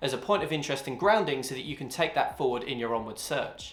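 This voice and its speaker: Over noticeable background noise and audible room echo, a man with a British accent speaks very fast with lively intonation. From UK. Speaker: YouTuber, funded forex trader. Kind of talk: talking-head explainer video.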